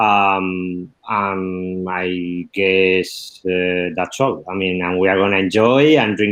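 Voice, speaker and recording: With a Spanish accent, a man speaks at a very slow pace. His pitch is very deep and low. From Spain, La Mancha. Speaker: wine export manager. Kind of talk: wine tasting presentation. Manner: halting, many fillers.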